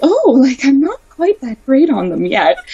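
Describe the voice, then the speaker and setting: A woman's high-pitched, sing-song put-on character voice at a moderate pace. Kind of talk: kid-friendly. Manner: sweet, bright, singsong.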